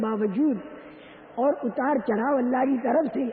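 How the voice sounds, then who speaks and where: Noticeable background noise sits under this recording. The man's pitch is extremely high, with ordinary pitch variation. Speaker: Islamic preacher. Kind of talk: religious sermon.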